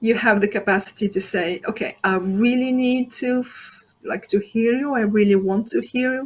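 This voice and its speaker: A woman with a non-native accent speaks very slowly at a high pitch. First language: not English. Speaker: transformation coach. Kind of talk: interview. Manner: halting, with fillers.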